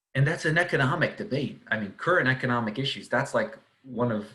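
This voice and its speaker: With an American accent, the speaker has a bright, sharp tone and lively intonation at a fairly quick pace, with audible room echo. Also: man. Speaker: economics professor. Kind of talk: lecture. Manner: casual with fillers and repetitions.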